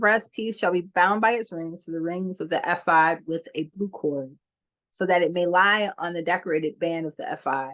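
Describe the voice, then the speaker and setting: An ordinary speaking voice in an American accent moves at a moderate pace with ordinary pitch variation. The background is quiet. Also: woman, fairly low pitch for a woman. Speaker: scripture reader. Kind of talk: reading aloud.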